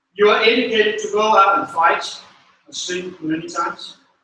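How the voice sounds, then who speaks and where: With a Danish accent, a man uses a raised, projected voice at a high pitch and a fairly slow pace. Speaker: school manager. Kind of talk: graduation speech. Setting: stage with audience. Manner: halting.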